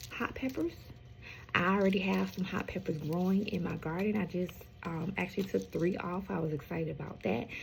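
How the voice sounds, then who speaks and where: At a medium pitch, a woman speaks with vocal fry. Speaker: home gardener, channel host. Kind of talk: casual vlog talk. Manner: hesitant, many fillers.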